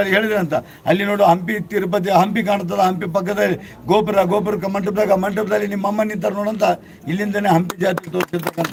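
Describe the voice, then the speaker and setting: Against noticeable background noise, a man talks in a high pitch with a monotone, flat intonation. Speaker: local storyteller. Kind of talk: oral storytelling.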